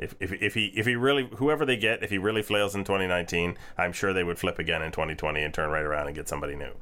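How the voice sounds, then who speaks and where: A man talks at a very fast pace with hardly any pauses. His very deep, low voice carries lively intonation. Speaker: podcast host. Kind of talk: casual chat. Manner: joking, digressive.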